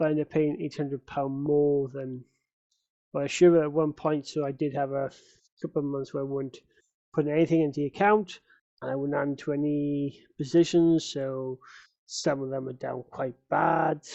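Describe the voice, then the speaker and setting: Someone mumbles at a moderate pace in a British accent. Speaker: amateur investor vlogger. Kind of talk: casual vlog. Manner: mumbling; hesitant, many fillers.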